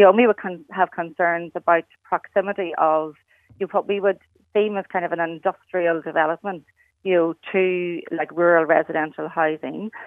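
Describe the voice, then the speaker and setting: In a Cork accent, a woman speaks at a moderate pace. Her voice is fairly low, and her intonation fairly even. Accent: Cork Irish. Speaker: local campaigner. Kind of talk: radio interview. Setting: phone call. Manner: hesitant, many fillers.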